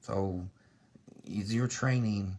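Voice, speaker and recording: The man's voice sits at a fairly low pitch and comes across somewhat breathy. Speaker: martial arts instructor. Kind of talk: casual vlog monologue. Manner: halting, many fillers.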